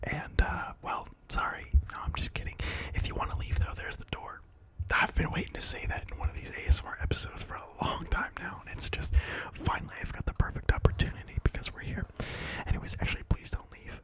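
A man whispers at a very fast pace. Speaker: ASMR creator. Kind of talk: casual talk to camera. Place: home room. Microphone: handheld.

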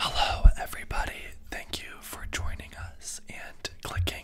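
Over noticeable background noise, a soft-spoken man whispers. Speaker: video host. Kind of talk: casual vlog chat. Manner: soft close-mic ASMR whisper. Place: home room. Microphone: studio mic.

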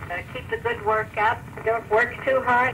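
This is a woman speaking with a fairly high pitch. Noticeable background noise sits behind her. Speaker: grandmother sending a spoken letter. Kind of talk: recorded voice letter to a grandchild. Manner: warm, affectionate. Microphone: old recording.

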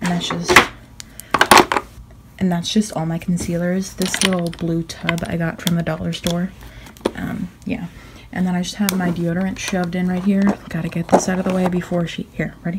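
Over loud background noise, a woman talks at a moderate pace in a fairly low pitch with monotone, flat intonation. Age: young. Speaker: beauty vlogger. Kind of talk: casual chat. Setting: at home in her bedroom. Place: home room. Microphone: phone near.

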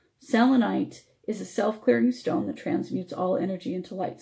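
A woman speaks at a moderate pace with lively intonation and a dark, mellow tone. Vocal fry runs through her voice. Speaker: radio host. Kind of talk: live radio talk show. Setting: online radio show with video. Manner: friendly, upbeat.

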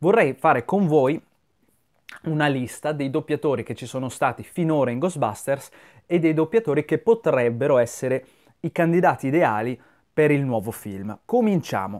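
A man with a fairly high pitch talks at a moderate pace with lively intonation. He leaves long, frequent pauses against a quiet background. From Italy. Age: 30s. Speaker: YouTuber film commentator. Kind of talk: video monologue commentary. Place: home room. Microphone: lapel.

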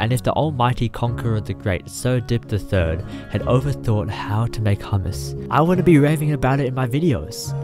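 Music plays behind a man speaking at medium pitch and a moderate pace. His voice shows very wide pitch swings. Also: hardly any pauses. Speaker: YouTuber. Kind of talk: motivational speech. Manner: casual.

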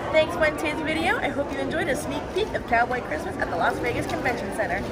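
A woman's voice against loud background noise. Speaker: vlogger. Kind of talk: promo tour guide walkthrough, upbeat vlog-style sales pitch. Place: hall.

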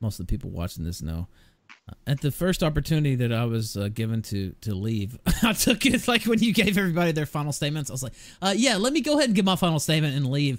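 Over a silent background in a very clean recording, a man with a fairly high pitch races along at a very fast pace, his pitch swinging very widely. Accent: Southern US. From US South. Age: adult, 20s or older. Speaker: livestream talk show host. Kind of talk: casual livestream chat.

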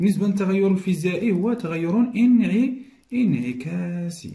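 Ordinary pitch variation in a man's dark, mellow tone

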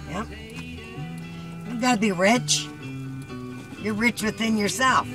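With clear music in the background, a woman speaks at a fairly slow pace in a dry sound with no echo. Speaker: grandmother. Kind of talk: casual family conversation. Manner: blunt, profane. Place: car. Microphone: phone near.

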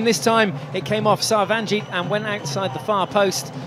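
A man speaks in an animated, upbeat tone over noticeable background noise. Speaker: hockey commentator. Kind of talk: live sports commentary. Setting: broadcast commentary from match venue. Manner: animated, fast play-by-play, rising excitement at goals; fluent, upbeat broadcaster delivery.

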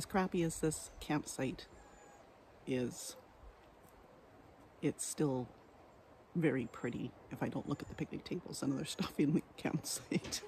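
The voice is somewhat breathy, with ordinary pitch variation. It moves at a fairly slow pace with long, frequent pauses. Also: woman, very deep, low pitch for a woman. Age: 60s. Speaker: car camper and RV vlogger. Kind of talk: casual vlog talk to camera.

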